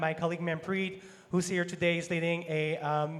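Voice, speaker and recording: A man's high-pitched voice in a French accent, with monotone, flat intonation. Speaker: sponsorship manager. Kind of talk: panel discussion.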